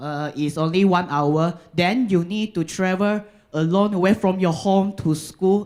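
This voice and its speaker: A moderate pace with a Malaysian accent. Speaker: university student. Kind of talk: pitch. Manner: halting.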